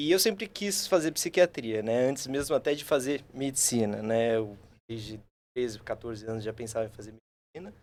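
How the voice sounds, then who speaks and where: With a slight São Paulo accent, a man at medium pitch speaks at a moderate pace, his intonation lively and his loudness swinging widely. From São Paulo state, Brazil. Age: 20s. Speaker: psychiatry resident. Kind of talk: casual podcast chat.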